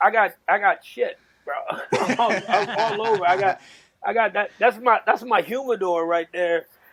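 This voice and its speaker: Someone with a New York accent speaks at a moderate pace with ordinary pitch variation. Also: man, high pitch for a man. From New York, South Bronx. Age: 50s. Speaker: navy veteran, former radio host. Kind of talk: casual chat.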